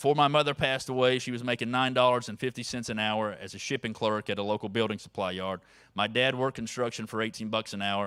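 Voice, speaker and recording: A man talks in a Southern US accent with a bright, sharp tone. His intonation is fairly even, and the recording is very clean with a silent background. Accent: Southern drawl, long vowels. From North Carolina mountains, rural. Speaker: advocacy organizer. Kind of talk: conference speech. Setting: stage with audience.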